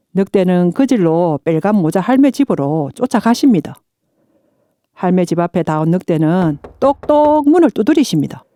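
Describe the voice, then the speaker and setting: A woman's medium-pitched voice in a South Gyeongsang accent, dark and mellow in tone, at a fairly slow pace with very wide pitch swings, very even loudness and a dry, close sound with no echo. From Hadong, South Gyeongsang, South Korea. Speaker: non-professional local resident voice performer. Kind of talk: fairy tale narration.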